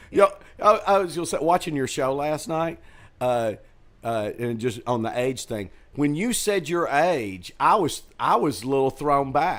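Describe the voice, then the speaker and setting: Against a silent background on a very clean recording, a man with a normal speaking voice talks at a fairly slow pace, fairly high in pitch, with lively intonation. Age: 60s. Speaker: comedy club owner and comedian. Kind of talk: casual chat. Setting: green room of a comedy theater.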